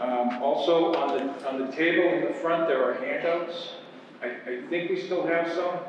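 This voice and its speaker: A man talks at a moderate pace with fairly even intonation, with strong room echo and light background noise. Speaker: hearing panel chair. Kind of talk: formal meeting announcements. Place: hall. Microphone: podium.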